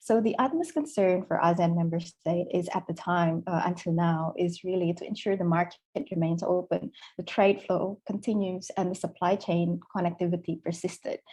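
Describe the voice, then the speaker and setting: A woman's somewhat breathy, fairly low voice with a dark, mellow tone, fairly even intonation and a non-native accent. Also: moderate pace. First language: not English. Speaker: policy expert panelist. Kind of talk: webinar panel discussion. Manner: halting, many fillers.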